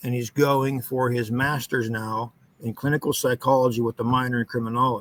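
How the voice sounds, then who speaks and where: In a western Pennsylvania accent, a man with a medium pitch speaks in a bright, sharp tone. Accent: western Pennsylvania American. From US, northwest Pennsylvania. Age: 50s. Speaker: foundry worker telling paranormal experiences. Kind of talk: podcast interview. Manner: halting, many fillers.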